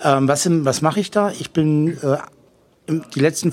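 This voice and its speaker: A man's voice, fairly high in pitch. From Franconia, Germany. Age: 40s. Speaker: telephone sales consultant and online marketer. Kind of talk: interview. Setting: hotel during a seminar.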